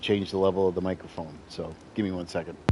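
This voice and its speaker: The speaker moves at a fairly quick pace. Noticeable background noise can be heard. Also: man. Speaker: gaming streamer. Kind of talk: live gameplay commentary. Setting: home apartment, streaming late at night. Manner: quieter than usual.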